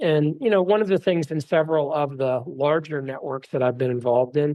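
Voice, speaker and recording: A man speaks in a normal speaking voice. His pitch is fairly high, with ordinary variation. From Texas, Dallas. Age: 50s. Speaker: venture investor. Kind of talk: interview.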